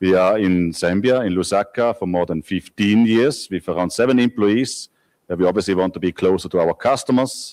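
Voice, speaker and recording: A man's fairly low voice with a Swiss accent, fairly quick, with ordinary pitch variation, in a very clean recording with a silent background and a dry, close sound with no echo. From Switzerland. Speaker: company managing director. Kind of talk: conference presentation.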